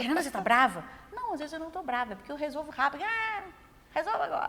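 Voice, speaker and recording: A woman talks at a very fast pace in a raised, projected voice with a high pitch. Her pitch swings very widely, and noticeable background noise is present. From Brazil, Minas Gerais (Zona da Mata). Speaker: journalist, TV news director. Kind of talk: interview.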